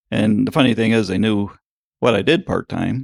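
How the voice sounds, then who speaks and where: A man's fairly low voice with vocal fry, in a dry, close sound with no echo. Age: 60s. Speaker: farrier. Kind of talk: interview.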